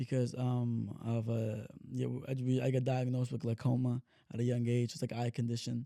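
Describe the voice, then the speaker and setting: At a fairly quick pace, a man speaks in a dark, mellow tone with a medium pitch. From Texas, San Antonio West Side. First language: Spanish. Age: 30s. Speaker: hip-hop artist. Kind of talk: casual chat. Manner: animated.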